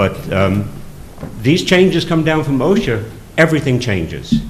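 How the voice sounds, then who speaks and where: With audible room echo around him, a man talks at a moderate pace while his pitch swings very widely. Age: 60s. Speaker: fire district commissioner. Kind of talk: public meeting remarks. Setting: town board meeting. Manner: animated.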